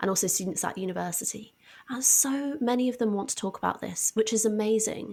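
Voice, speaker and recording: Speaking fairly quickly with a southern English accent, a woman uses a fairly high pitch, ordinary pitch variation and a dark, mellow tone. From southwest England, Devon. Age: 20s. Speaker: science communicator and author. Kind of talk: podcast interview.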